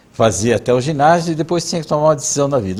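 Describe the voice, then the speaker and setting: Very wide pitch swings mark this man's somewhat breathy voice. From southern Brazil, Mafra, Santa Catarina. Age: 60s. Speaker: interviewee recounting his life. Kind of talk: oral history interview.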